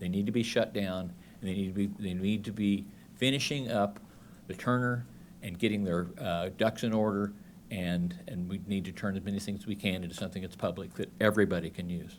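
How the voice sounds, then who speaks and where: Speaking with an American accent, a man has a fairly low pitch. His pace is fairly quick and his intonation fairly even. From Oklahoma. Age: 60s. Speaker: public commenter at a board meeting. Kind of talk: public comment. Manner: halting, many fillers and repeats.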